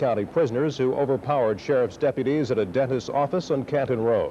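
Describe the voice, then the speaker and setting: A man with a normal speaking voice at medium pitch, fairly quick, with ordinary pitch variation. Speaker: television news anchor. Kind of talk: TV news anchor delivery.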